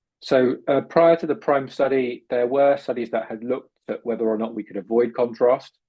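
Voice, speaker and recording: With a British accent, a man speaks at a moderate pace and a medium pitch, using fairly even intonation and hardly any pauses. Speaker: urologist and researcher. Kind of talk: lecture.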